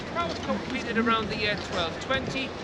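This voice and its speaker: Amid audible room echo and noticeable noise, a man talks fairly briskly. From Newcastle, northern England. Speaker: tour guide, Yeoman Warder. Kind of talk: guided tour talk. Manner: animated.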